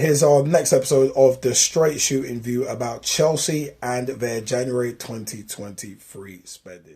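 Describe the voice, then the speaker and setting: With an upbeat tone, a man speaks at a moderate pace and hardly pauses, his somewhat breathy, dark, mellow voice sitting at a medium pitch with ordinary pitch variation and big swings in loudness. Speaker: football podcast co-host. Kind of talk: podcast intro. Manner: casual, upbeat.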